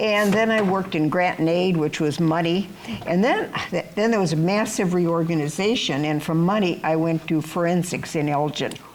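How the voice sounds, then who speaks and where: A woman with an American accent, fairly low pitch and ordinary pitch variation, at a moderate pace with very even loudness over noticeable background noise. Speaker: retired nurse. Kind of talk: casual chat.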